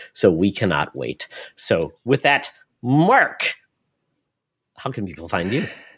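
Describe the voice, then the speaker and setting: A man talks at a very slow pace with long, frequent pauses and vocal fry. His pitch swings very widely, and the recording is very clean with a silent background. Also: medium pitch for a man. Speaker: podcast host. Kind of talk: casual chat.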